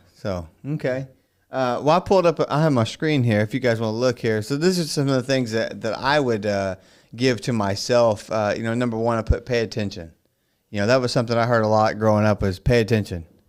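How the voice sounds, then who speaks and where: This man has an ordinary speaking voice, medium in pitch with ordinary pitch variation, at a fairly quick pace. The recording is very clean with a silent background. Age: 30s. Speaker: podcast host. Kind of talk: casual chat.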